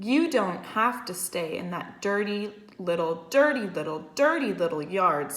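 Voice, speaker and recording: A woman speaks in a put-on character voice at medium pitch and a moderate pace. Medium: read story. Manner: repetitive, excitable.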